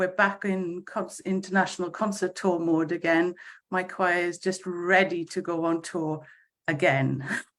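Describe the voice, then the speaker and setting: A woman speaks with a Welsh accent at a fairly slow pace. Her fairly low voice is monotone and flat. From Wales. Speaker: choir conductor. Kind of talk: casual chat. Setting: video call. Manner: halting.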